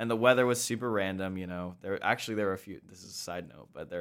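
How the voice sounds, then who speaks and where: A man with an American accent has a very deep, low pitch. The recording is very clean, with a silent background. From US Midwest, Sioux Falls, South Dakota. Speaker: musical theatre actor. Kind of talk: interview. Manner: halting.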